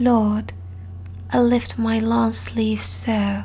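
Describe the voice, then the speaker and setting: A soft-spoken voice talks at a very slow pace. Music plays in the background. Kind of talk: soft-spoken ASMR story reading.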